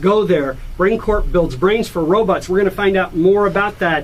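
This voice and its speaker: There is noticeable background noise as a man with an American accent talks in a high pitch. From United States. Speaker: radio host. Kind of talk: radio interview.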